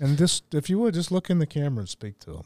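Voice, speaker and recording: A man speaks with a Southern US accent. The recording is very clean, with a silent background and a dry, close sound with no echo. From US South, Alabama. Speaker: podcast host. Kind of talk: interview. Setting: studio.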